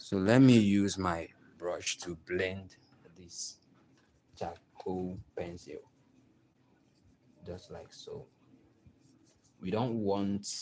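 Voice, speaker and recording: The speaker has a Nigerian accent and a dark, mellow tone. Delivery is very slow, with fairly even intonation. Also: man. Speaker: artist. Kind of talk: tutorial. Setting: live stream.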